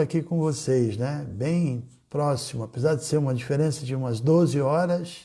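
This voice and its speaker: Over a silent background in a very clean recording, a man speaks at a moderate pace with a dark, mellow, somewhat breathy tone and ordinary pitch variation. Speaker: spiritual teacher. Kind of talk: casual chat. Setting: livestream. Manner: animated.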